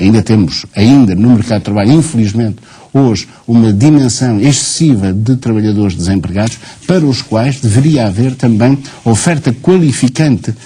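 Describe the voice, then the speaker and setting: With an ordinary speaking voice, a man keeps a moderate pace, a medium pitch, ordinary pitch variation and very even loudness. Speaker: teachers' union leader. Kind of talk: TV studio debate.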